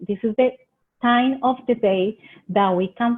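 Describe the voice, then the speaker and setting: A woman speaks with a Colombian accent. Her pace is fairly slow. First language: Spanish. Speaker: extension agent. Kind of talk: webinar presentation. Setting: online webinar. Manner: halting.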